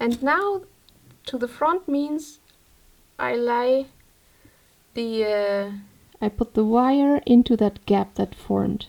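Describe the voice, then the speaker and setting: Lively intonation in a German accent, at a very slow pace with long, frequent pauses. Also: woman, high pitch for a woman. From Germany. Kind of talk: tutorial. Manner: casual. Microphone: microphone placed poorly, moving-around sounds.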